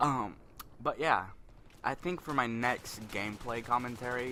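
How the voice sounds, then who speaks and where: With a bright, sharp tone, a man speaks in fairly even intonation. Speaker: gaming commentator. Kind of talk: gameplay commentary. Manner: fast.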